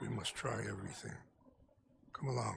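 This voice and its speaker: A man is doing a put-on character voice. He goes at a fairly quick pace. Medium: video game. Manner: measured, solemn.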